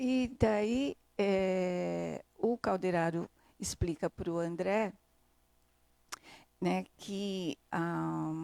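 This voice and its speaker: A woman at a very slow pace with long, frequent pauses, on a very clean recording with a silent background. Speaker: spiritist study presenter. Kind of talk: book study summary. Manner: halting.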